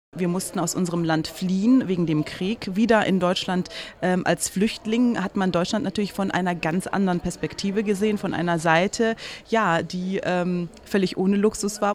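A woman at medium pitch, speaking at a moderate pace with fairly even intonation, music in the background. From East Germany and Somalia, raised from age 16 in Bonn. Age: 30s. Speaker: journalist and presenter, former refugee. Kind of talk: interview excerpt, personal testimony. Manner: hesitant with fillers.

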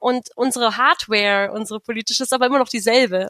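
Speaking at a very fast pace, a woman uses a fairly high pitch with ordinary pitch variation in a dry, close sound with no echo. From Brandenburg, near Berlin. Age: 20s. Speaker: democracy activist. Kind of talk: interview.

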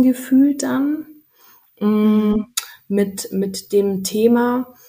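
A woman's somewhat breathy voice. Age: 30s. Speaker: mother sharing birth story. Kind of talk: interview.

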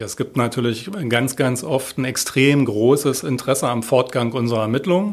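An unremarkable speaking voice from a man, medium in pitch with ordinary variation, at a moderate pace with hardly any pauses. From Berlin (Moabit). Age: 50s. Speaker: head of a homicide department. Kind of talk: interview.

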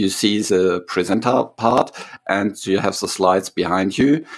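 A man's fairly low voice, an ordinary speaking voice, with ordinary pitch variation at a moderate pace. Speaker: podcast host for statisticians. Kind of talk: interview.

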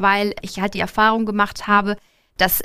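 In a very clean recording with a silent background, a woman talks at a moderate pace in a normal speaking voice. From northern Germany, Lübeck. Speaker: bank branch manager. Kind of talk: live podcast interview. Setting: stage with live audience.

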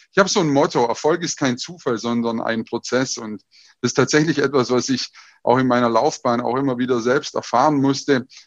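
Speaking at a fairly quick pace against a quiet background, a man has a medium pitch and ordinary pitch variation. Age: 30s. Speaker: business coach and speaker. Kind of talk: online talk / presentation. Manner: energetic.

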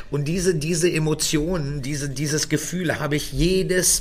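A man's fairly high-pitched voice with audible room echo and noticeable background noise. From Göttingen, Germany. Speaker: chef and restaurant owner, podcast co-host. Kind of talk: casual chat.

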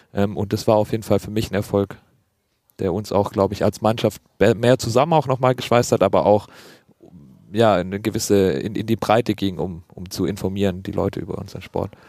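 The recording has a dry, close sound with no echo. A man with a dark, mellow tone and a fairly low pitch talks at a fairly quick pace, with ordinary pitch variation. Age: 20s. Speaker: doctoral student and rugby player. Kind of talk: casual chat.

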